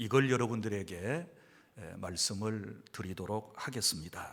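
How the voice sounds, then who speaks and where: Lively intonation at a very slow pace, with audible room echo. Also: man. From South Jeolla, Sinan County. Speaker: pastor. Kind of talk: lecture.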